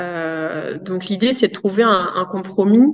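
A woman at a medium pitch, speaking very slowly. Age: 30s. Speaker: positive parenting specialist. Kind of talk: interview. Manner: hesitant, many fillers.

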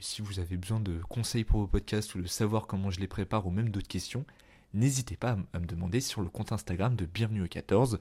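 Over a very clean recording with a silent background, a man speaks at a fairly quick pace in a fairly low, somewhat breathy voice with a dark, mellow tone and fairly even intonation. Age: 20s. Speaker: podcast host. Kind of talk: solo podcast monologue. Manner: casual, hesitant with fillers.

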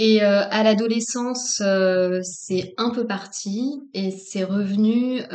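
Audible room echo surrounds a woman speaking at medium pitch, very slowly, with fairly even intonation. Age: 40s. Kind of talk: interview about personal path and spirituality. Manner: halting, many fillers and repetitions.

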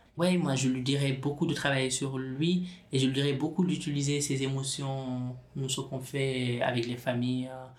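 With audible room echo in the recording, a man talks at a moderate pace in a medium pitch, his intonation flat and monotone. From Senegal. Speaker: specialised social worker. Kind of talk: interview. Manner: halting, many repetitions and fillers.

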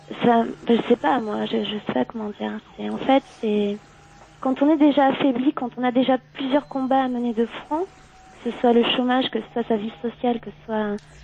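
A high-pitched woman speaks at a moderate pace with fairly even intonation and long, frequent pauses. Her loudness swings widely over noticeable background noise. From southwestern France, Gironde. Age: 20s. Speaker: caller. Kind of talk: phone-in discussion. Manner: halting.

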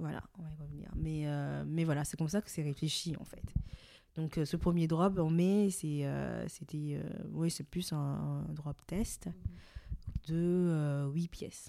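A woman at a very slow pace, with big swings in loudness. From Benin, Cotonou. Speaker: fashion brand co-founder. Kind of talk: interview. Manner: hesitant, many fillers.

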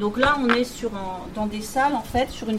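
Speaking at a moderate pace with fairly even intonation, this voice comes through over noticeable background noise. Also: woman. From central France, rural Allier (Bourbonnais). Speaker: university professor and soil researcher. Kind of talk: interview about research and life story. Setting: in her laboratory and office. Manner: hesitant, with fillers and repetitions.

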